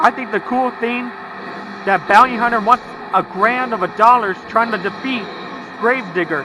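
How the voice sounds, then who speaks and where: With noticeable background noise behind him, a man projects a raised voice at a high pitch and a moderate pace. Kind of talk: video game commentary.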